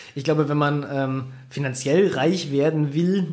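A man with an unremarkable speaking voice, fairly high in pitch. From Bavaria, Germany (Bayrischzell, south of Munich). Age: 30s. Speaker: bike mountaineer and adventure athlete. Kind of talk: interview. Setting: studio.

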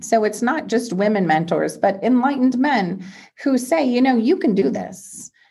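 This woman's voice is somewhat breathy and fairly high in pitch. Her intonation is lively. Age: 50s. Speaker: serial entrepreneur and investor. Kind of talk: interview conversation.

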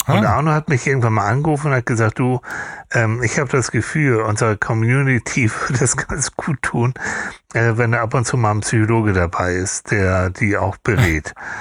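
A plain, everyday voice moves at a moderate pace with ordinary pitch variation in a dry, close sound with no echo. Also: man, medium pitch for a man. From Hamburg, northern Germany. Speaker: psychologist and TV therapist. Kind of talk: casual interview.

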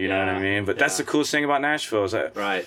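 A man with an American accent talks in a normal speaking voice. His pitch is fairly low, with ordinary pitch variation. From US Midwest, Missouri. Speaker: singer-songwriter and muralist. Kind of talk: casual interview. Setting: camper studio.

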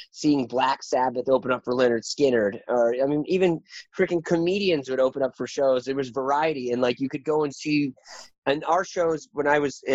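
A man with an American accent and an ordinary speaking voice, fairly high in pitch, at a moderate pace with ordinary pitch variation. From rural northeast Washington State. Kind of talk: interview. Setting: remote call.

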